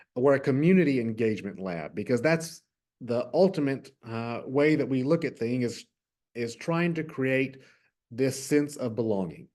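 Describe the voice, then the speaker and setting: Against a quiet background, a man with a Texas accent speaks fairly slowly at a fairly high pitch. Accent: Southern US (Texas). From West Texas. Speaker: innovation lab manager. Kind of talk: virtual workshop presentation. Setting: virtual workshop.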